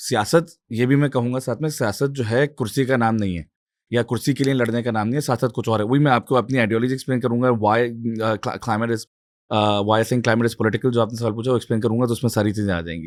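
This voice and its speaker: With ordinary pitch variation, a man talks at medium pitch. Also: very clean recording, silent background. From Pakistan, Karachi. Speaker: climate activist and political candidate. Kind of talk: interview discussion. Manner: hesitant with fillers.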